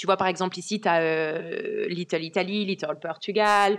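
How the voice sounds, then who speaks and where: This is a woman talking. The intonation stays fairly even throughout. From France. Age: 20s. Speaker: car sales professional. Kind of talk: casual interview chat. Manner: hesitant, many fillers.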